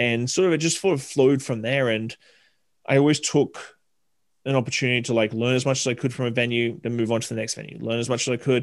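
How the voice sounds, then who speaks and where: Here a man with an Australian accent talks at a very fast pace. The background stays quiet. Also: medium pitch for a man, fairly even intonation. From Southeast Queensland, Australia. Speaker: bartender and hospitality consultant. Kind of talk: casual interview chat.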